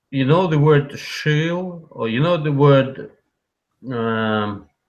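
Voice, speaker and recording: A man with a Russian accent and a fairly high pitch, at a very slow pace. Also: ordinary pitch variation. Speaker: call-in guest on livestream. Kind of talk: casual chat. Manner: halting.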